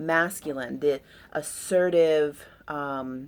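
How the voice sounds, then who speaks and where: A woman speaks with a very deep, low pitch. The recording is very clean, the background silent. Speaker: astrologer. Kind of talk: astrology chart reading. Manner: casual, with many fillers.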